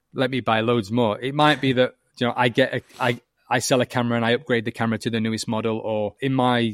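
Someone with a northern English accent talks at a very fast pace in a monotone, flat delivery, recorded dry and close with no echo on a very clean, silent background. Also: man. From northern England. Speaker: filmmaker and digital artist. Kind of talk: casual interview chat.

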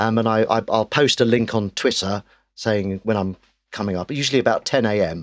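A man speaks at a fairly quick pace with an English accent, his pitch fairly low and its variation ordinary. The background is quiet. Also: dry, close sound with no echo. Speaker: actor and comedian. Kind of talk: casual chat.

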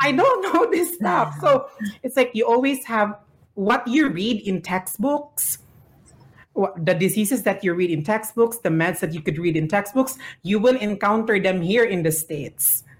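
In a Filipino accent, a somewhat breathy voice moves at a moderate pace with very wide pitch swings. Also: woman, medium pitch for a woman. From Philippines. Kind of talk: group panel discussion, casual.

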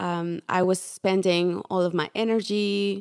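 A woman with a Spanish accent speaks in a fairly low pitch and fairly even intonation. The very clean recording has a silent background and a dry, close sound with no echo. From Mexico. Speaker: portrait photographer, former teacher. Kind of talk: interview.

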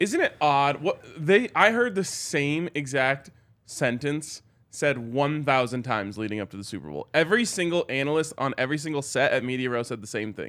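Over a very clean recording with a silent background, a man with a plain, everyday voice talks at a moderate pace, fairly high in pitch, with lively intonation. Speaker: sports podcast host. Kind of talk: casual sports talk. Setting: live show at a bar.

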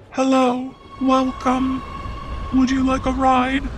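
A put-on, robotic character voice sounds female and high-pitched at a fairly slow pace. Clear background noise runs underneath. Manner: friendly, welcoming.

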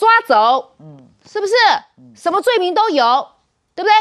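A woman is speaking. Her pace is moderate. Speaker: political commentator. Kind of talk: political talk show.

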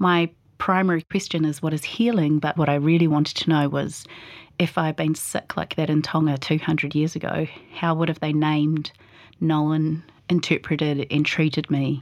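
A woman with a New Zealand accent talks at a moderate pace in a very deep, low pitch. Her intonation is monotone and flat, and her loudness stays very even. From New Zealand, Palmerston North. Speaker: poet and mental health interviewee. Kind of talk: personal testimony.

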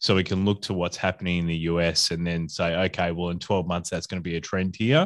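Over a silent background in a very clean recording, a man speaks at a very deep, low pitch with an Australian accent. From Adelaide, South Australia. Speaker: podcast host and hospitality consultant. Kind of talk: casual interview chat.

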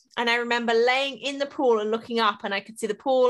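A woman speaks very fast in a fairly high pitch with a bright, sharp, animated tone on a very clean recording with a silent background. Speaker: podcast host and business coach. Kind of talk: casual interview chat. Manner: animated, excitable.

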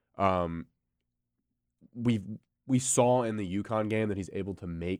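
In a very clean recording with a silent background, a normal speaking voice carries ordinary pitch variation. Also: man. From North Carolina, near Charlotte. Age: young. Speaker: college sports podcast co-host. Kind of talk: casual chat.

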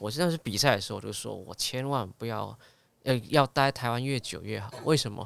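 A man's medium-pitched voice with vocal fry, a fairly quick pace and big swings in loudness. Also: ordinary pitch variation. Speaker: singer and TV host. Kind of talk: casual interview chat.

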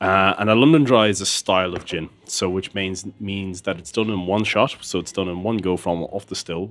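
A man with an Irish Midlands accent and a very deep, low pitch speaks at a moderate pace with fairly even intonation, on a very clean recording with a silent background. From Ireland, Tullamore, County Offaly. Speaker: gin company founder. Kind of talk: interview. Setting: pub.

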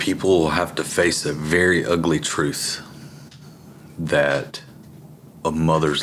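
The speech is fairly slow and monotone, flat in intonation, with long, frequent pauses, in an Alabama accent. Noticeable background noise runs underneath. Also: man. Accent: Southern US (Alabama). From US South, Alabama (Tuscaloosa area). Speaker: Marine veteran and father. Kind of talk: interview testimony.

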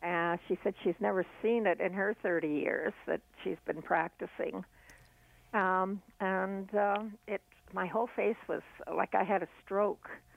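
A voice with vocal fry and fairly even intonation, moving at a fairly slow pace. The sound is dry and close, with no echo. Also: woman, medium pitch for a woman.

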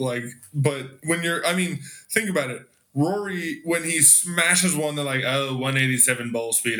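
A fairly high-pitched man with an American accent speaks in a space with audible room echo. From Los Angeles area. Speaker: golf content creator. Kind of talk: casual chat.

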